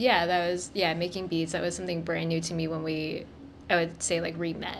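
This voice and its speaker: A woman's fairly low, monotone, flat delivery at a fairly quick pace. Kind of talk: interview questions, casual conversation.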